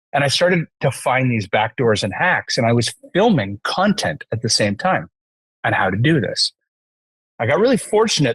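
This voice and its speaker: A man with a Canadian accent talks in a plain, everyday voice at a moderate pace. His intonation is lively, and the sound is dry and close with no echo. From Canada. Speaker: entrepreneur, CEO. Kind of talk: podcast interview.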